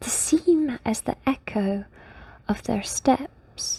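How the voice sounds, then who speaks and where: A woman speaks in a calm, relaxed tone. Her voice is somewhat breathy. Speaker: hobbyist reader who reads to an online audience. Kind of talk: sleepy bedtime story reading. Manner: calm, sleepy, relaxed.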